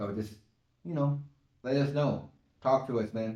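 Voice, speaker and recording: This man's voice sits at a medium pitch. His pitch moves in an ordinary way. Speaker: podcast co-host. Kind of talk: casual chat.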